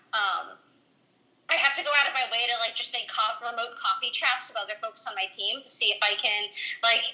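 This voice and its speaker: Noticeable background noise can be heard. The talking is fairly quick. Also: woman. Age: 20s. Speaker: software engineer. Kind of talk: casual interview.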